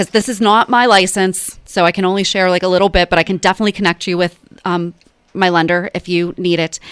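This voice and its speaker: Speech in a Pennsylvania accent comes at a very fast pace with monotone, flat intonation and a dry, close sound with no echo. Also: woman, medium pitch for a woman. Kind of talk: radio interview. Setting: radio studio. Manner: casual with fillers.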